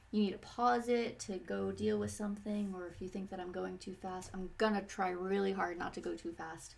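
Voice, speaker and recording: This soft-spoken voice moves at a moderate pace. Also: woman. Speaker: painting teacher. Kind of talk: tutorial. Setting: live stream at home. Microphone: quiet, volume turned up high.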